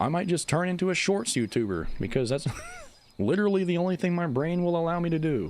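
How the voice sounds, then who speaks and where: Lively intonation from a man with a high voice at a fairly quick pace. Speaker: video game YouTuber and livestreamer. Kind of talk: casual livestream chat. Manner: stumbles over words.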